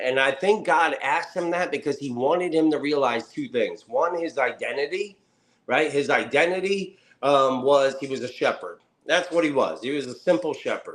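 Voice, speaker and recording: An American accent marks this man's animated tone. He keeps a moderate pace with ordinary pitch variation. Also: fairly high pitch for a man. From New Jersey (Camden). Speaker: motivational speaker. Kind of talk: interview with faith-based motivational talk. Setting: podcast interview.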